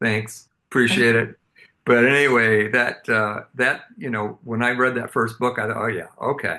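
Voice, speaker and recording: This man's voice has a bright, sharp tone at a medium pitch. He speaks at a fairly slow pace with ordinary pitch variation. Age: 70s. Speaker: interview host. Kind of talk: interview.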